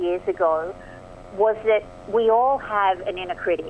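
Ordinary pitch variation runs through this speech in an Australian accent. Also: woman. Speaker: performance coach and author. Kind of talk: radio interview. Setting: phone call.

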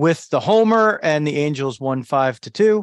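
This man has an unremarkable speaking voice, with lively intonation at a moderate pace. The sound is dry and close, with no echo. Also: quiet background. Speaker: podcast host. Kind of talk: casual sports talk. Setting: live stream. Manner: conversational, rambling.

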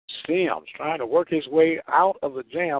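A man with an American accent speaks in an ordinary speaking voice, his pitch fairly high and his intonation fairly even at a fairly slow pace. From US Midwest. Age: 50s. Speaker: radio sports announcer. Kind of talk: live baseball play-by-play commentary. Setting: radio broadcast from ballpark.

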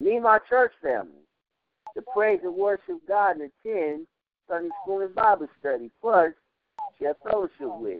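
Speaking at a moderate pace with long, frequent pauses, a man uses a high pitch and lively intonation. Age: 40s. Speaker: poet. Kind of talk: spoken word poem performed on call-in radio.

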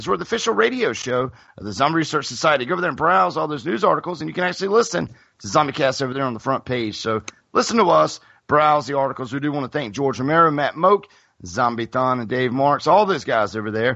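Energetic in tone, a man with a fairly high voice talks at a very fast pace. His pitch swings very widely. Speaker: podcast host and event announcer. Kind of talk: casual chat.

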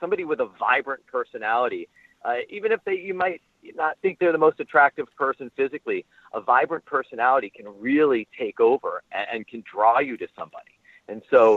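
Big swings in loudness from a man talking at a fairly quick pace. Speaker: author and speaker. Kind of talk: interview.

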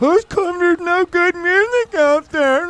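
A whiny put-on character voice at an extremely high pitch, delivered at a fairly slow pace.

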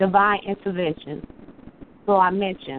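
A woman at a moderate pace and a medium pitch. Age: 30s. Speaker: caller and poet. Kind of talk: spoken word poetry. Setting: phone call.

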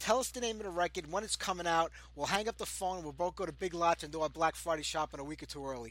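Barely pausing, a man with an American accent rattles along at a very fast pace in a high pitch. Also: ordinary pitch variation. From New York. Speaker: heavy metal radio host. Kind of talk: casual interview chat.

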